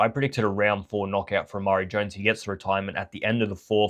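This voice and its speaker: Talking very fast, a man speaks at a fairly low pitch. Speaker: boxing commentator YouTuber. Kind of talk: casual fight review.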